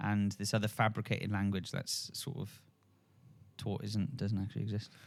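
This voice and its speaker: This man speaks with a strong South Wales accent. His fairly low pitch carries a fairly even intonation. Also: moderate pace. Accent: strong local South Wales. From Wales, Port Talbot/Swansea area. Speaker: podcast co-host, yogi. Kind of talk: casual spiritual discussion. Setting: studio, filmed podcast. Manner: slurred words.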